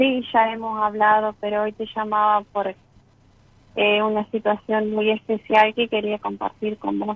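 Speaking at a fairly slow pace, a woman uses a fairly high pitch and monotone, flat intonation. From Argentina, Entre Ríos. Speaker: caller, health worker. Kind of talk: personal testimony.

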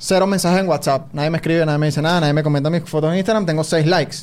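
A man speaks with ordinary pitch variation. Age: 20s. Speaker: podcast host and sports/esports commentator. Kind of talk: casual chat. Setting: studio.

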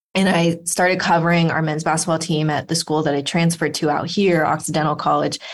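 A woman with a Californian accent, very fast and with hardly any pauses, monotone and flat in intonation, her loudness very even throughout. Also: fairly low pitch for a woman. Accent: General American (California). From Los Angeles, US. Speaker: sports writer and author. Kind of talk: interview.

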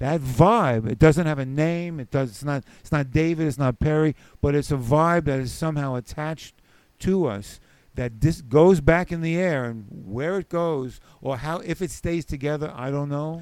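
Here is a man with a New York accent and a fairly high pitch. He talks at a moderate pace, with big swings in loudness. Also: ordinary pitch variation. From New York City (the Bronx). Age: 70s. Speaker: comedian and musician. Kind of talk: casual chat.

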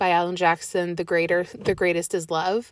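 In a very clean recording with a silent background, a woman with an unremarkable speaking voice talks at a moderate pace and medium pitch. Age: 20s. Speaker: podcast host. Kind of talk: casual Bible reflection monologue. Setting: in a car. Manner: casual with many fillers.

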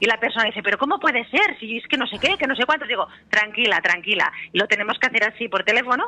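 A woman with a fairly high pitch speaks at a very fast pace with lively intonation. Noticeable background noise can be heard. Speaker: therapist and author. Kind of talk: radio interview. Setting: phone call. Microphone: telephone line.

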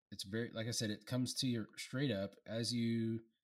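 Medium pitch from a man, a normal speaking voice, and a moderate pace. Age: 40s. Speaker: beer review podcast co-host. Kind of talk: casual chat.

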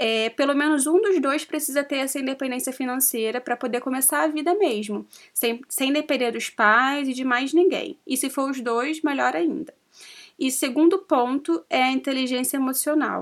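A woman talks at a moderate pace in a high voice. The recording is very clean, with a silent background. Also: ordinary pitch variation. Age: 20s. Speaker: podcast co-host, social media influencer. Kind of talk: casual chat.

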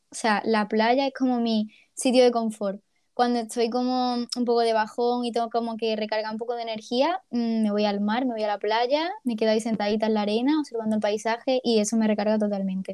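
Against a quiet background, a woman speaks at a fairly high pitch and a fairly quick pace. Her tone is dark and mellow, and her intonation fairly even. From Ceuta, Spain. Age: 20s. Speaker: podcast co-host, university student. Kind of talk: casual chat.

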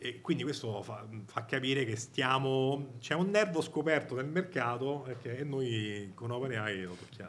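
A man with a Roman accent at medium pitch, with audible room echo. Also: lively intonation, moderate pace. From Rome, Italy. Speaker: tech company AI director. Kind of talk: live event interview. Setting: event with live audience.

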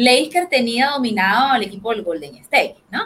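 A woman's high-pitched voice, bright and sharp in tone, with ordinary pitch variation at a moderate pace. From Venezuela. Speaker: sports commentator. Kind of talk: casual sports panel talk.

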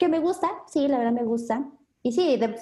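A woman speaks at a high pitch with lively intonation. Her tone is dark and mellow. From Mexico City. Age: 20s. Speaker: health business marketer. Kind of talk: interview.

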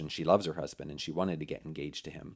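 A man speaks with an American accent and ordinary pitch variation, recorded very cleanly against a silent background. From Pennsylvania. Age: 40s. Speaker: communication expert and podcast host. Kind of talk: conversational interview.

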